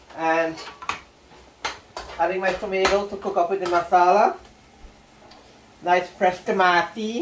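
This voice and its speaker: Through noticeable background noise, a man with a high voice talks at a fairly slow pace in a monotone, flat intonation, leaving long, frequent pauses. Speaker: home cook vlogger. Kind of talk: cooking tutorial. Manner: casual, chatty. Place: kitchen. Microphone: camera far.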